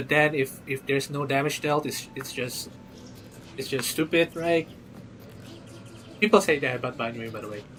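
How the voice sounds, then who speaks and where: Speaking at a moderate pace with a non-native accent, a man with a fairly high pitch and ordinary pitch variation pauses long and often, his loudness swinging widely over noticeable background noise. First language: not English. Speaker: gaming livestreamer. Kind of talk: live stream chat about a game. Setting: live stream. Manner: casual, halting with repetitions.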